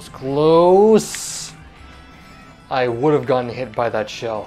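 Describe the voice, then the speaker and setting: A man's medium-pitched voice at a very slow pace, big swings in loudness, and faint music in the background. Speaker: gaming commentator. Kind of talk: live gameplay commentary. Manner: monotone in parts. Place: home room.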